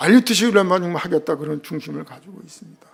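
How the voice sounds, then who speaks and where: A man talks at a very fast pace in a high voice. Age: 60s. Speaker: missionary. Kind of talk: sermon. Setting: church.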